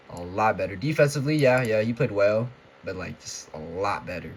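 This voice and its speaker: Somewhat breathy, this voice moves at a fairly quick pace and shows ordinary pitch variation. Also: man. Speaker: sports vlogger. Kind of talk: casual rant. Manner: halting, stuttering.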